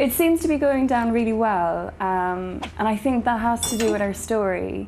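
A woman with a Kerry accent, lively intonation, very even loudness and a moderate pace, over light background noise. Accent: Irish (Kerry). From County Kerry, Ireland. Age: 20s. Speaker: film producer. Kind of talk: interview answer. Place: home room. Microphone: lapel.

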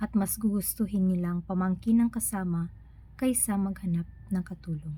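This woman's somewhat breathy voice has a dark, mellow tone, a medium pitch, ordinary pitch variation and a moderate pace. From Philippines, Bohol. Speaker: vlogger. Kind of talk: personal narrative, read aloud. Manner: halting.

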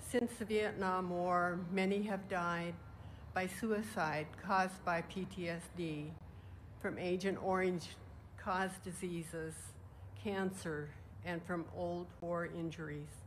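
A woman with a fairly low, somewhat breathy voice speaks at a very slow pace with fairly even intonation. Long, frequent pauses break up her speech over light background noise. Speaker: retired army nurse, war veteran. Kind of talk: ceremonial speech. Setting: outdoor memorial ceremony. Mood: solemn, earnest. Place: open country. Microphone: podium.

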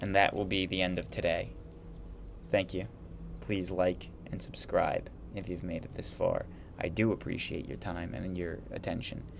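Light background noise accompanies a man who leaves long, frequent pauses. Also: moderate pace. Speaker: history video host. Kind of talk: lecture. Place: home room. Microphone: webcam.

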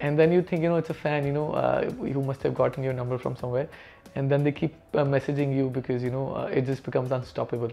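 A man talks at a very fast pace in a flat, monotone delivery. Faint music plays behind him. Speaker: interviewee. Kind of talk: interview answer. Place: home room. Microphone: lapel.

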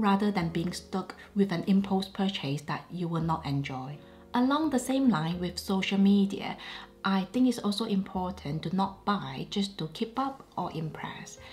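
Her voice is medium in pitch and somewhat breathy. The woman speaks at a moderate pace with lively intonation. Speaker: luxury fashion YouTuber. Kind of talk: casual chit-chat talk to camera.

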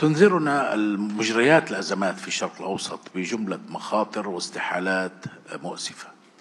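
With a fairly low pitch and lively intonation, a man talks at a fairly slow pace, barely pausing, while his loudness swings widely. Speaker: journalist and political analyst; journalist, political analyst. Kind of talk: prepared talk. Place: hall. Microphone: too far from the mic; podium.

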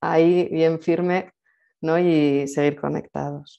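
A woman's fairly low voice, dark and mellow in tone, with monotone, flat intonation. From Spain. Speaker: event host. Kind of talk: casual interview. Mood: warm, smiling. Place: home room. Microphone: earbuds.

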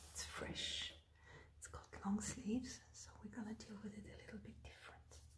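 A woman whispers, soft-spoken, at a fairly slow pace. Noticeable background noise sits behind her. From France. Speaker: ASMR content creator. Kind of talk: ASMR folding tutorial. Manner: soft whisper, softly spoken.

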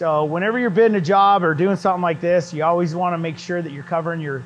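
Faint music plays behind a man speaking. His voice is high-pitched with fairly even intonation. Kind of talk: casual tutorial talk to camera. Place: workshop.

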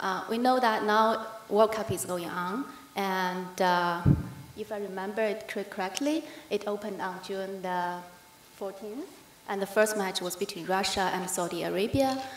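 Light background noise and audible room echo surround a woman who speaks at a moderate pace with ordinary pitch variation. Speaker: conference speaker, news editor. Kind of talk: conference presentation. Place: hall. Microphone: podium.

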